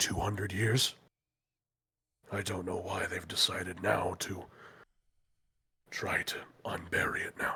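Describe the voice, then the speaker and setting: Using a put-on character voice, a man talks in a raspy, fairly low pitch at a moderate pace. His speech has long, frequent pauses. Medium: actual play. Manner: measured, thoughtful, slightly formal.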